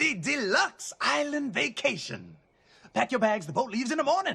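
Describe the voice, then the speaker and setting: A man's put-on character voice, extremely high pitched and cackling, with very wide pitch swings at a moderate pace. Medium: cartoon. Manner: cackling, showy.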